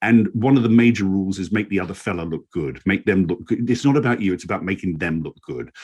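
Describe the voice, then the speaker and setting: A man with a British accent talks at a very fast pace with hardly any pauses. His pitch is fairly low and his intonation lively. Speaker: former actor, communications coach, voice-over artist. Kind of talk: interview answer.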